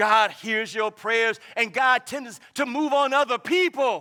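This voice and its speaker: This man uses a raised, projected voice with a bright, sharp tone. He talks at a fairly slow pace with ordinary pitch variation. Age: 70s. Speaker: pastor. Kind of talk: sermon.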